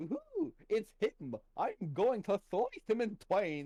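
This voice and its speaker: In a put-on character voice, a man speaks at a very slow pace and a high pitch. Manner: sly, sugary cartoon villain.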